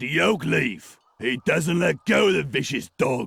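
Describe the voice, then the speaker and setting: In a put-on character voice, a man sounds raspy at a medium pitch, his pitch swinging very widely while his loudness stays very even. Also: fairly slow pace. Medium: video game. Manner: blunt, simple.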